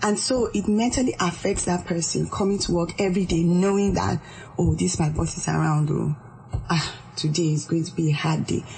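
A fairly quick pace over light background noise. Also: woman. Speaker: organizational psychologist. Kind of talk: radio interview. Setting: studio. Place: studio.

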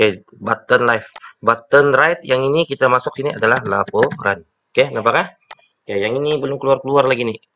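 A man's medium-pitched voice with a bright, sharp tone, fairly quick pace and ordinary pitch variation. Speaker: teacher. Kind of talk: tutorial. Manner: casual, with many fillers.

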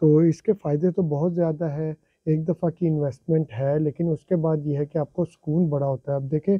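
With a slightly husky edge, a man speaks at a fairly quick pace and fairly high pitch, his intonation fairly even, in a dry, close sound with no echo.

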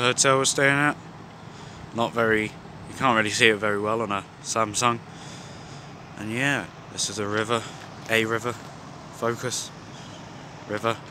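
Flat, monotone speech comes at a moderate pace with long, frequent pauses, dry with no echo, over noticeable background noise. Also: man. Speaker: vlogger. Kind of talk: casual vlog chat.

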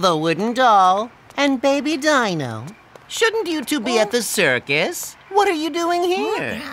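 A cartoonish character voice sits fairly high in pitch and swings very widely up and down. The pace is fairly slow.

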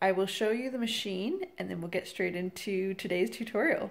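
A woman is speaking. Her pitch rises and falls in an ordinary way. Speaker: home cooking vlogger. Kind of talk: casual tutorial intro. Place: kitchen. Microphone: phone near.

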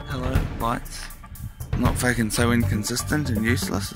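Clear music plays behind a man speaking at a moderate pace, the sound dry with no echo. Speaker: filmer commenting. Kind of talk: casual vlog chat. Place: street. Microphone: phone near.

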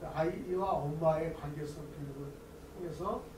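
A man talks while noticeable background noise persists throughout. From South Korea. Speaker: academic researcher presenting a paper; conference presenter. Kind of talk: conference presentation. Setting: academic conference with audience. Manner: hesitant with fillers. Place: hall. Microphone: podium.

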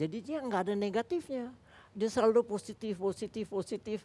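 A man speaks at a fairly slow pace in a high voice, with light background noise behind him. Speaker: former football coach. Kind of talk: talk show interview. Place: studio.

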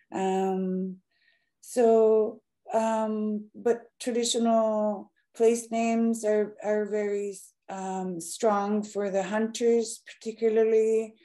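Against a quiet background, a woman with a fairly high pitch and a dark, mellow tone speaks at a very slow pace, in monotone, flat intonation, with long, frequent pauses. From Nunavut, Canadian Arctic. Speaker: Inuit artist and broadcaster; speaker. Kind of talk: lecture. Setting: video call. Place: home room. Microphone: video call.

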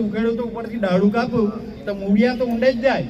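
With audible room echo and noticeable background noise, a man talks at a high pitch. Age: 60s-70s (around seventy). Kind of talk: public speech at a community meeting.

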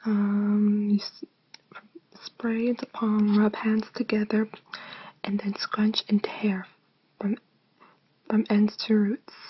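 Whispering and soft-spoken, a woman talks at a very slow pace with long, frequent pauses. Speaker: ASMR creator. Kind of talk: ASMR unboxing video. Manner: soft-spoken, whispering.

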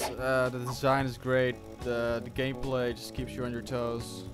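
A man speaks with music playing in the background. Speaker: gaming commentator. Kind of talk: casual gameplay commentary. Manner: quiet.

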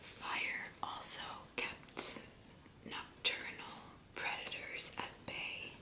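The whisper moves very slowly. It is broken by frequent, long pauses. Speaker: ASMR creator. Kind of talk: ASMR fact reading. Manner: soft whispering. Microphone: studio mic.

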